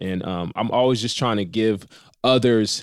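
Here a man talks with an American accent at a fairly low pitch. The recording is very clean and the background silent. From Inland Empire, Southern California. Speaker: clothing brand founder. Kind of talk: casual interview.

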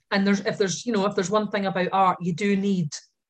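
Medium-pitched woman's voice in a Scottish accent with fairly even intonation. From Scotland. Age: 40s. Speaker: painter. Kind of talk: casual chat.

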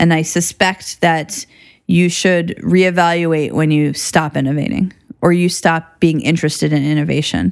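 At a moderate pace, a woman speaks in a plain, everyday voice with fairly low pitch, fairly even intonation and very even loudness. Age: 30s. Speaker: gynecologic surgeon. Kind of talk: interview.

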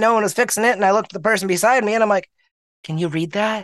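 A speaker with a Canadian accent talks in a fairly even intonation. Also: man. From Canada, rural Manitoba. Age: young. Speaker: blind skateboarder and hip-hop artist. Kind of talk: casual chat.

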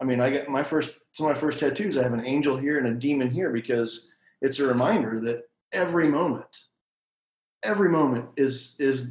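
With a Midwestern US accent, a man talks at a medium pitch with ordinary pitch variation. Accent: US Midwest. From Missouri, small town. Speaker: shop owner, entrepreneur. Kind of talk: interview conversation.

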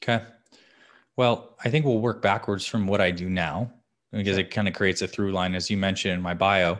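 Recorded very cleanly with a silent background, a man with an American accent and an unremarkable speaking voice talks at a fairly quick pace, fairly low in pitch, with ordinary pitch variation. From Arizona. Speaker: health and fitness coach. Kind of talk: interview.

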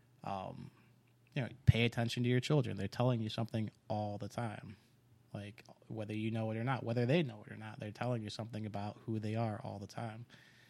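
A man with an American accent speaks at a fairly quick pace. His pitch is medium and his intonation fairly even. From US East Coast. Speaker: father, military veteran. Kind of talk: casual interview. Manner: halting, many fillers.

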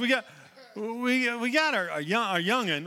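A man with an American accent projects a raised voice at a high pitch, bright and sharp in tone, with very wide pitch swings. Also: very clean recording, silent background. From Oklahoma. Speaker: pastor. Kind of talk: sermon. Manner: halting.

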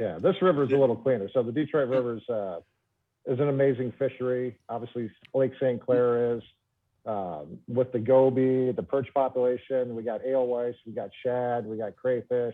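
He has an unremarkable speaking voice with an American accent. This man's medium pitch shows ordinary variation at a moderate pace. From Michigan, Trenton area. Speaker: professional bass angler. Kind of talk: casual interview.

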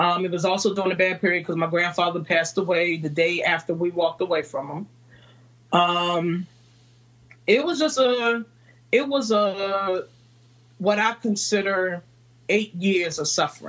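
A woman with a Virginia accent speaks at a medium pitch with ordinary pitch variation. Her pace is moderate, with long, frequent pauses. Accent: Southern American (Virginia). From Virginia, US South. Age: 30s. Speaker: entrepreneur and mother. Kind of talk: interview chat.

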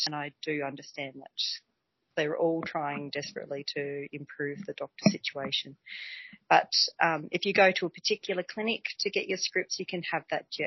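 The speaker has an Australian accent and a moderate pace. There are long, frequent pauses and ordinary pitch variation. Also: woman, big swings in loudness. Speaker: community health nurse. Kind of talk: casual interview explaining health topic. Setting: shared office, recorded together. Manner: self-conscious, a little nervous.

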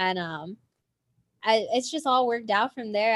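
In a plain, everyday voice, the speaker uses ordinary pitch variation with an American accent. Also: woman. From Southern California. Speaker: indie rock songwriter. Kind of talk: casual interview.

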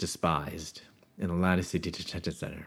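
A man speaks with a Midwestern American accent on a very clean recording with a silent background. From US Midwest, Chicago area. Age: 50s. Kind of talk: testimony.

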